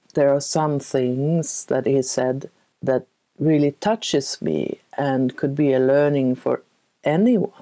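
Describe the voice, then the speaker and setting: Speaking with a Swedish accent, a woman uses a very deep, low pitch and a dark, mellow tone, with ordinary pitch variation. Her pace is very slow and her loudness very even. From Sweden. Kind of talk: interview. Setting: video call.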